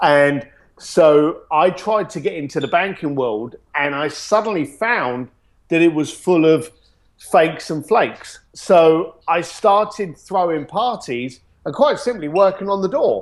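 In a London accent, a man speaks at a fairly slow pace. His voice is high, with lively intonation. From East London, England. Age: 40s. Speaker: luxury experience company founder. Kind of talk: interview.

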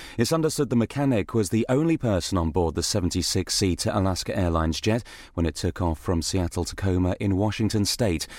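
A man with a British accent races along at a very fast pace with hardly any pauses, his pitch fairly low and his intonation lively, in a very clean recording with a silent background. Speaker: radio newsreader. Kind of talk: news reading: brisk, crisp, authoritative bulletin delivery. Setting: studio. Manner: formal; fast, even-paced, businesslike.

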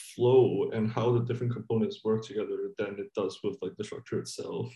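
Dark and mellow in tone, the man's voice carries some breathiness. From Hong Kong. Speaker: novelist. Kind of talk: interview.

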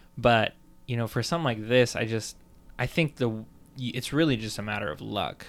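A normal speaking voice from a man, medium in pitch, with ordinary pitch variation and a fairly quick pace. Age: 20s. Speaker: podcast co-host. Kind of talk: casual chat.

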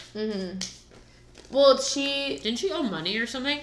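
Animated tone and lively intonation at a moderate pace, with noticeable background noise. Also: woman. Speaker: podcast co-host. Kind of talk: casual chat.

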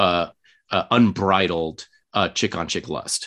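Heard on a very clean recording against a silent background, a man speaks with an American accent. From Los Angeles, US. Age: 30s. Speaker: podcast guest. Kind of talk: casual chat. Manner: animated.

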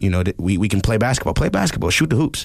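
A man talks in a New York accent at a very fast pace. His pitch sits fairly low. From New York, the Bronx. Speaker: music producer and drummer. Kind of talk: casual chat. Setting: studio.

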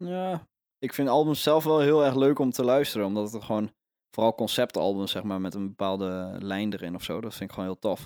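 With lively intonation, this man's medium-pitched voice moves along at a fairly quick pace. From Netherlands, Overijssel. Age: 20s. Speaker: folk singer-songwriter. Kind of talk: casual interview. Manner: halting.

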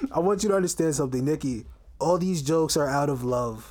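A man speaks with a New York accent in an animated tone. His pace is fairly quick with ordinary pitch variation. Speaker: podcast co-host. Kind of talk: casual chat.

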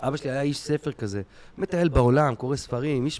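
This man has a plain, everyday voice at medium pitch, with ordinary pitch variation and a moderate pace. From Israel. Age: 40s. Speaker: stand-up comedian. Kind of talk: casual chat.

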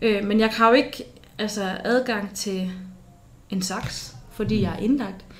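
A woman's medium-pitched voice with long, frequent pauses and audible room echo. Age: 20s. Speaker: university student sharing experience of psychiatric hospitalization. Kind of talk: personal testimony in interview. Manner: hesitant, many fillers.

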